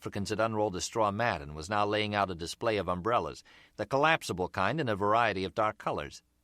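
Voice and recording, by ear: The text is read aloud in a natural-sounding voice.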